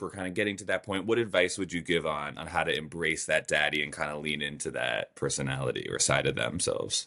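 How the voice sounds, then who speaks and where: The speaker rattles along at a very fast clip in an American accent. The intonation is lively. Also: man. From New York. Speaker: brand ambassador and interviewer. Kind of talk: casual interview.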